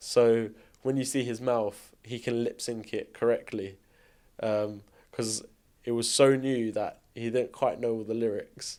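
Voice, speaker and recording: At a fairly slow pace, a man talks in a medium-pitched, flat, monotone voice. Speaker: TV and film production coordinator. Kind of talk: casual behind-the-scenes storytelling.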